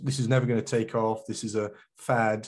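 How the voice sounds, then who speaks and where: Against a quiet background, a man with a British accent speaks at medium pitch in a dark, mellow tone with fairly even intonation. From England. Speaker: geospatial industry consultant. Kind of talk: conference talk. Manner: hesitant, many fillers.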